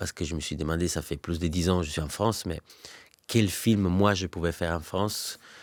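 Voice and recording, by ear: Low-pitched for a man, he talks at a fairly quick pace. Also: fairly even intonation.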